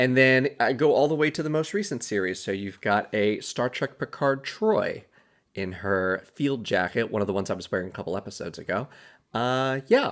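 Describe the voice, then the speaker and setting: This man talks fairly quickly and mumbles, at a medium pitch with very wide swings. The recording is very clean, with a silent background. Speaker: podcast host. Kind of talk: casual solo podcast commentary. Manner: mumbling.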